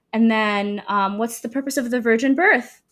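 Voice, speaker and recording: A woman's fairly high voice at a fairly quick pace with ordinary pitch variation, on a very clean recording with a silent background. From Sudan and Saudi Arabia. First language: Arabic. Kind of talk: testimony interview.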